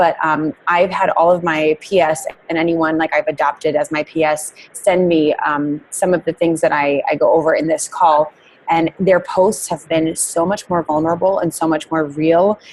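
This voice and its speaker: Against noticeable background noise, a woman talks at a moderate pace in a fairly low pitch with flat, monotone intonation. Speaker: network marketing team leader. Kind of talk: team training call. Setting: conference call.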